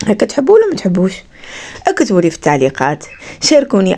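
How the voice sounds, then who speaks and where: A woman speaks over noticeable background noise. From Algeria, Skikda. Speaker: vlogger, mother and homemaker. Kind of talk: casual vlog narration.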